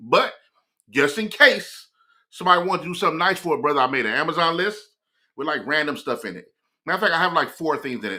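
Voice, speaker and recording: A man's fairly high-pitched, bright, sharp voice at a very fast pace, animated in tone and lively in intonation. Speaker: morning show streamer. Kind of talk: casual live-stream monologue.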